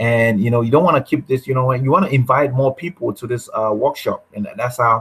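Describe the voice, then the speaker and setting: A man's somewhat breathy voice sits at a medium pitch, rising and falling in an ordinary way. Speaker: online marketing workshop host. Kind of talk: live webinar tutorial. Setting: live video broadcast with screen share. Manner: halting, many fillers.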